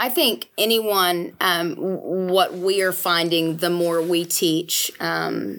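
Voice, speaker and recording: A woman speaks at a medium pitch. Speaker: guest, Enneagram teacher. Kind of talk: casual interview explanation.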